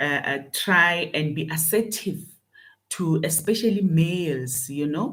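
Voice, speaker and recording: A woman with a fairly low pitch talks at a fairly slow pace with ordinary pitch variation, her voice carrying audible room echo. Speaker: leadership coach. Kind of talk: motivational talk. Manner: loud; halting with fillers.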